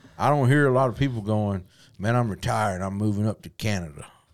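Over a silent background in a very clean recording, a man with a Southern US accent talks at a fairly quick pace with ordinary pitch variation. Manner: casual, conversational.

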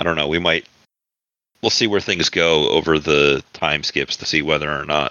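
A man talks at a moderate pace with a very deep, low pitch. His intonation stays fairly even. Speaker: game master of actual play podcast. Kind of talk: casual chat. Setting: live stream with chat.

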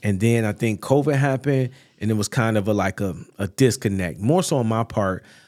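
Recorded very cleanly against a silent background, a man speaks at a fairly quick pace in a medium pitch with ordinary pitch variation. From North Chicago, Illinois, US. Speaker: pastor. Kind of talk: casual interview.

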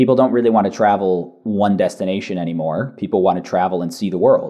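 A man's fairly low-pitched, normal speaking voice in an American accent, fairly quick in pace and fairly even in intonation. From San Francisco Bay Area, California. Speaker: chief customer officer at a SaaS company. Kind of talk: casual podcast interview.

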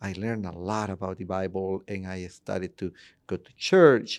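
A man with a Spanish accent speaks in a fairly low voice. The recording is very clean, with a silent background. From Honduras, Tegucigalpa. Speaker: church planting director. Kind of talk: interview.

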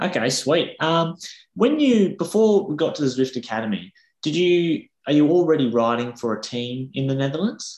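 A man with an Australian accent speaks at a moderate pace, his pitch swinging very widely. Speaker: podcast host. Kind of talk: interview. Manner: casual.

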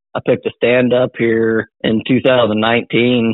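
A man in a Missouri accent, monotone and flat in intonation. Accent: Midwestern US (Missouri). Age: 20s. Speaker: deer hunter. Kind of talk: casual interview.

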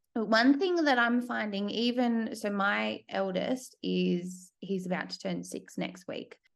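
A woman speaks with an Australian accent at a fairly slow pace. She leaves hardly any pauses. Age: 30s. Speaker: podcast host. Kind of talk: interview.

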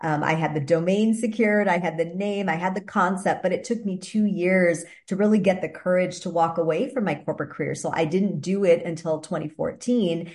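A woman with an American accent talks at a fairly quick pace with hardly any pauses. Her voice is somewhat breathy. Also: medium pitch for a woman, ordinary pitch variation. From US Midwest, Wisconsin. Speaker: fitness and wellness entrepreneur. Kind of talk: interview.

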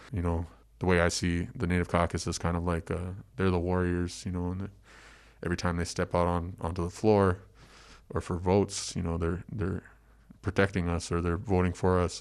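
A man talks at a fairly quick pace with an American accent, his pitch very deep and low. His intonation is monotone and flat, against a quiet background. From Minnesota. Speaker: Native food sovereignty and civic engagement activist. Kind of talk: interview. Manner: halting, many fillers.

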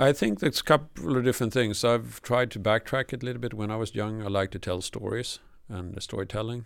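On a very clean recording with a silent background, a man with a fairly low pitch and vocal fry talks at a fairly quick pace with ordinary pitch variation. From southern Sweden. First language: Swedish. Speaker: telecom engineer. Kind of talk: interview. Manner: halting.

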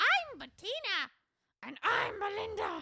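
Doing a put-on character voice, a woman squeaks at an extremely high pitch with very wide pitch swings. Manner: exaggerated, comedic.

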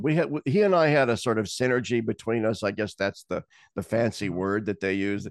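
In an ordinary speaking voice with an American accent, a man talks at a fairly quick pace and medium pitch with lively intonation, the sound dry and close with no echo and the background quiet. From Nebraska. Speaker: theologian. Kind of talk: casual chat.

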